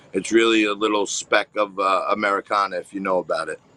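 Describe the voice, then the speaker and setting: A man's fairly low voice with a bright, sharp tone, a strong New York accent, a fairly quick pace, and a dry, close sound with no echo. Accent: thick New York. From New York, Staten Island. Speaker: TV host and finance commentator. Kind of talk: interview.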